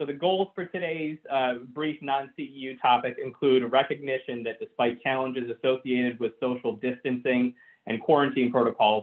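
A man's speech moves at a moderate pace with ordinary pitch variation, and the background is quiet. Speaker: physical therapist. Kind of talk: webinar presentation. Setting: phone line into webinar. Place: home room. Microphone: webcam.

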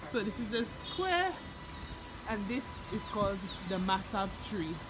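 Music can be heard behind the speech. The speaker is a woman. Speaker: vlogger. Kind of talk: casual vlog chat. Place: street. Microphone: phone near.

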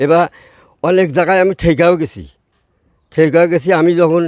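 A man speaks at a high pitch. The sound is dry and close with no echo, in a very clean recording with a silent background. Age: 70s. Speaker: elderly witness of the 1971 war. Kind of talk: oral history testimony.

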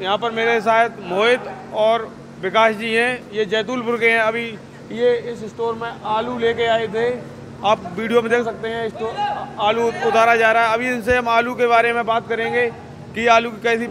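A man with an extremely high voice speaks fairly slowly in a monotone, flat intonation, with long, frequent pauses and noticeable background noise. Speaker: field reporter. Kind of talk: news field report and interview questions. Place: factory. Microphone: handheld.

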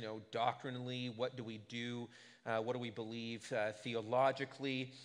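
A man talks with a quiet background. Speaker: pastor. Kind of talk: sermon. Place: church. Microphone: podium.

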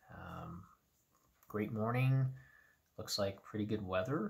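A man's voice at a fairly slow pace, with ordinary pitch variation, over a quiet background. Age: 50s. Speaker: running vlogger. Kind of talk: casual vlog recap. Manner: hesitant with many fillers. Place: home room. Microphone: phone near.

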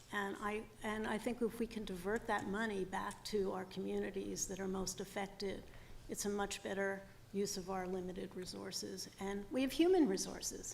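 A woman speaks at a moderate pace with a medium pitch and fairly even intonation. Noticeable background noise runs under her voice. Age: 60s. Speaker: former parole board commissioner. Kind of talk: testimony. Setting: public hearing.

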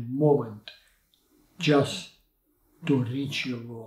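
A man speaks with a Ukrainian accent, somewhat breathy, with ordinary pitch variation. The background is quiet, though room echo is audible. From Ukraine. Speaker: Olympic sailing coach. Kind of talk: interview answer. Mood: reflective, earnest.

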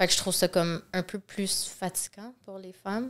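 A woman's monotone voice with flat intonation. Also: quiet background. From Quebec. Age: 30s. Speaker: reality TV contestant, influencer; influencer. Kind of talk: casual interview. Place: studio. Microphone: studio mic.

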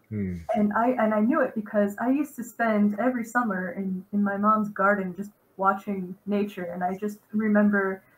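Her voice is somewhat breathy, and this woman speaks at a moderate pace. Her pitch shows ordinary variation. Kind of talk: interview answer. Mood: warm, self-deprecating, laughing. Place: home room.

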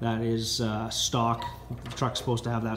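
Noticeable background noise is present. Over it, a man talks fairly quickly. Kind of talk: product walk-around commentary. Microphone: phone near.

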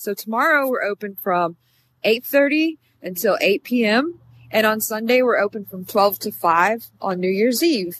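Against light background noise, a woman speaks fairly slowly with lively intonation, the sound dry with no echo. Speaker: car salesperson. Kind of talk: product walkaround tour. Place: street. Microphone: phone near.

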